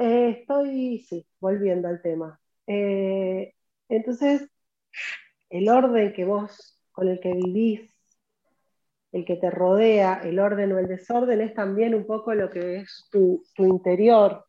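Her pitch sits in the middle range with ordinary variation as this woman talks very slowly. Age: 40s. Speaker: professional organizer and content creator. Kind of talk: interview conversation.

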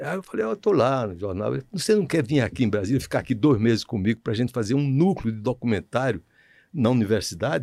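Talking very fast, a man uses a medium pitch and a dark, mellow tone. The recording is very clean, with a silent background and a dry, close sound with no echo. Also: lively intonation. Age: 80s+. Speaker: filmmaker. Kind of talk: interview. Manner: halting.

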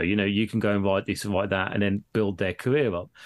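Talking at a very fast pace with a Birmingham accent, a man is heard on a very clean recording with a silent background. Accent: Birmingham (Brummie). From Birmingham, England. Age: 40s. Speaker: podcaster. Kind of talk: casual chat.

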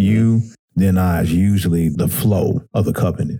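Somewhat breathy and fairly slow, a man speaks with a very deep, low pitch, a dark, mellow tone and ordinary pitch variation. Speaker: podcast host. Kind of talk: casual chat. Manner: animated.

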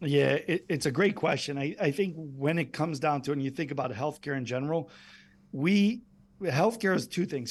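A man speaks at a fairly high pitch and a moderate pace with ordinary pitch variation, a normal speaking voice. The recording is very clean, its background silent. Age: 50s. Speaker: medical device company executive. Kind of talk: interview.

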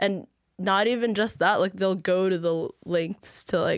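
In a very clean recording with a silent background, a woman with an American accent talks at a medium pitch, the sound dry and close with no echo. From Saudi Arabia and Virginia. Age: young. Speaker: college student. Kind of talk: casual interview.

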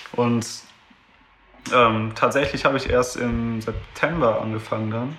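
Long, frequent pauses break up fairly slow speech with fairly even intonation, heard through noticeable background noise and audible room echo. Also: man, medium pitch for a man. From Düsseldorf, Germany. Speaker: pianist and event organizer. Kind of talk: casual interview.

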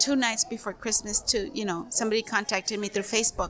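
Over noticeable background noise, a woman speaks with an American accent. Her pitch is fairly high and her pace moderate. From Heber, Imperial Valley, California. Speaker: community organizer. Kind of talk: casual interview.

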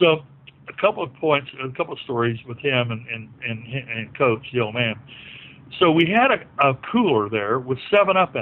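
A man with an American accent has an unremarkable speaking voice at a medium pitch. He moves at a moderate pace with lively intonation. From southwest Virginia, Appalachia. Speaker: former basketball player. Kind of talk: casual interview.

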